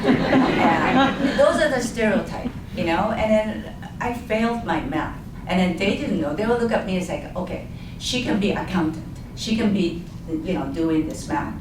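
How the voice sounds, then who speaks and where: A woman's medium-pitched voice with a Japanese accent, lively intonation and a moderate pace, with audible room echo and noticeable background noise. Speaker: community village co-founder and board chair. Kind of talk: panel discussion. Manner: halting.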